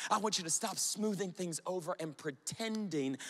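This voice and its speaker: With ordinary variation in pitch, a man keeps a moderate speed as he talks. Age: 30s. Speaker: youth pastor. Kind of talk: sermon. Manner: animated.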